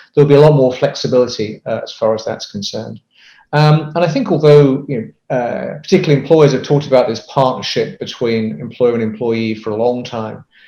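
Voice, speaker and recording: With a British accent, a man speaks at a fairly quick pace in a dark, mellow tone. His pitch is medium with ordinary variation. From UK. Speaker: business consultant. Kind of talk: interview. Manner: hesitant, many fillers.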